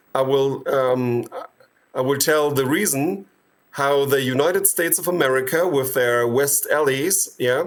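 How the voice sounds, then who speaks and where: A man with a German accent, fairly high pitch and ordinary pitch variation, at a fairly slow pace. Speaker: medical doctor and activist. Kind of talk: interview. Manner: hesitant, with many fillers.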